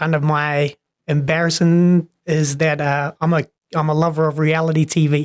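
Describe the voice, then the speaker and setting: A man with a New Zealand accent speaks at a moderate pace in a monotone, flat intonation with very even loudness. His pitch is fairly high, and the sound is dry and close with no echo. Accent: New Zealand accent, noticeable. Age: 30s. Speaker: personal trainer. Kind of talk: casual podcast interview. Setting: studio podcast with headphones.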